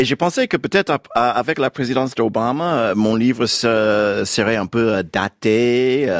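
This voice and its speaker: A man with an English accent speaks very slowly at a medium pitch. His loudness stays very even, and his pitch varies in an ordinary way. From United States. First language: English (speaking French). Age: 50s. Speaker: novelist. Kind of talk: radio interview. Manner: halting, many hesitations.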